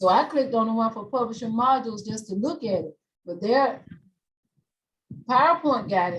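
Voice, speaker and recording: A woman's somewhat breathy voice at a moderate pace, with lively intonation, big swings in loudness and long, frequent pauses. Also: fairly high pitch for a woman. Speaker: instructor. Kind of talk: tutorial. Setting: video call.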